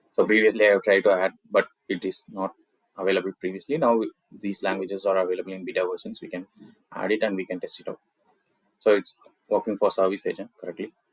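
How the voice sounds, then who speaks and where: In a Tamil accent, the speaker talks at a very fast pace with long, frequent pauses, the sound dry and close with no echo. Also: man. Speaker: software tutorial creator. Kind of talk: screen-recorded tech tutorial. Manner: casual, with filler words.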